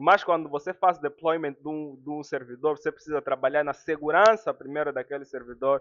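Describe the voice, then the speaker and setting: Fairly high for a man, his pitch shows ordinary variation. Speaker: network security instructor. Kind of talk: live online class. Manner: fast.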